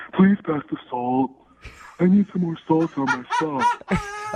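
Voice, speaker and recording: Putting on a character voice, a man talks at a fairly slow pace in a high pitch. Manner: dim-witted, goofy.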